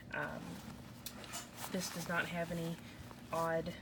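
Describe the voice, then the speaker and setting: A soft-spoken woman speaks at a fairly slow pace with a fairly low pitch. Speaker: parent of three young children. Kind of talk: casual product review to camera. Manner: quiet, soft-spoken.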